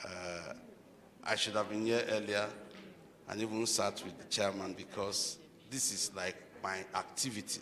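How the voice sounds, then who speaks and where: A man with a fairly low pitch speaks at a moderate pace in a flat monotone, leaving long, frequent pauses. Noticeable background noise and audible room echo surround him. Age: 60s. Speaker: speaker at book launch. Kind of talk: formal speech. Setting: hotel hall event.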